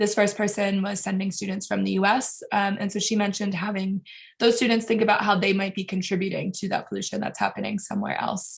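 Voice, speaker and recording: A woman talks at a very fast pace, somewhat breathy. Her intonation stays monotone and flat. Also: medium pitch for a woman. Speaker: breakout group presenter at online workshop. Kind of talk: group report-back.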